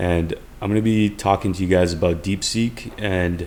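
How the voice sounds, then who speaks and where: A man speaks in a fairly low voice. His intonation stays fairly even. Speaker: software developer. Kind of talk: tutorial. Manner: fast; casual, with filler words.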